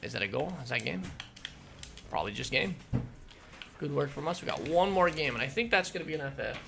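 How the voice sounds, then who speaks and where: Over noticeable background noise, a man talks very fast with very wide pitch swings and long, frequent pauses. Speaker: gaming youtuber and streamer. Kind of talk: gameplay commentary. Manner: casual, halting.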